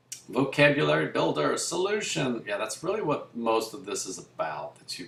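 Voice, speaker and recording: Moving at a moderate pace, a man's voice makes very wide pitch swings against noticeable background noise. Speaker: math teacher. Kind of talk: lecture. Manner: casual.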